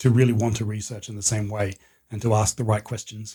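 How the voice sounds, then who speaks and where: A man with an Australian accent talks at a fairly quick pace and medium pitch, his tone dark, mellow and somewhat breathy. His intonation stays monotone and flat, and the recording is very clean with a silent background. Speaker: history professor. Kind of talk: casual interview.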